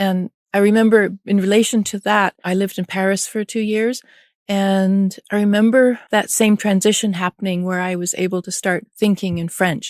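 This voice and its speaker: With a Canadian accent, a woman speaks at a moderate pace and a medium pitch in a flat monotone, in a very clean recording with a silent background and a dry, close sound with no echo. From Canada, Vancouver. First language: German. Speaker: artist and art professor. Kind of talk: interview.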